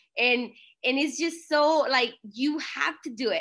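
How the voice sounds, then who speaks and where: A woman speaks with a Spanish accent in a bright, sharp tone against a quiet background. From Mexico. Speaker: network marketing leader. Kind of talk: online call talk. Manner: animated.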